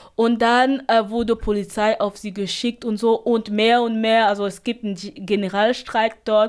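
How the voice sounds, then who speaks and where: Speaking at a fairly slow pace, a woman holds a fairly high pitch in a monotone, flat delivery. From Cameroon. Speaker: refugee radio activist. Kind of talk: interview. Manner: halting.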